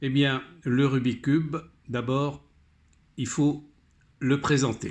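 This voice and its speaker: Very slow and monotone, a man speaks at a fairly high pitch with flat intonation. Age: 70s. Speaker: hobbyist tutorial maker. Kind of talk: tutorial.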